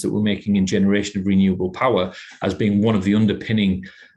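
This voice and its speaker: Here a man speaks with a northeast English accent. His pitch sits fairly low. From northeast England, Teesside. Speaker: manager at a technology innovation centre. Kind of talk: podcast interview. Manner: halting, many repetitions.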